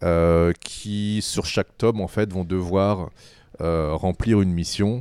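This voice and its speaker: Very slow and very deep, a man's voice carries a dark, mellow tone and fairly even intonation on a very clean recording with a silent background. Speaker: comic book writer. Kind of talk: interview. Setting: studio.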